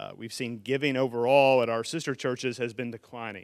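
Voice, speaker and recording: Heard on a very clean recording with a silent background, a man with an unremarkable speaking voice talks at medium pitch and a moderate pace. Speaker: church finance committee member. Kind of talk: financial report presentation. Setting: stage with audience. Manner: jokey, upbeat.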